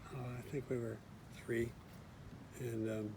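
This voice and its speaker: With an American accent, a man speaks at a moderate pace and a medium pitch in a monotone, flat intonation. Audible room echo surrounds him. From US West Coast, Berkeley, California. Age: 60s. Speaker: retired engineer. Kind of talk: casual interview.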